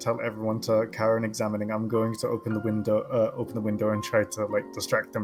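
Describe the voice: Reading aloud, plainly done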